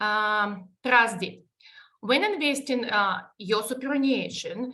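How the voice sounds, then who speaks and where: With a Russian accent, the speaker talks at a very slow pace in a bright, sharp tone with ordinary pitch variation. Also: woman, fairly high pitch for a woman. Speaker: superannuation advisor presenting webinar. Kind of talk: webinar presentation. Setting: online webinar. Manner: halting, many fillers.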